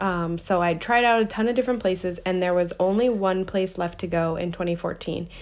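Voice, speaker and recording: This is a plain, everyday voice. It moves at a fairly quick pace. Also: woman. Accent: American. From United States. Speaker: podcast host. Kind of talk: solo monologue answering listener question.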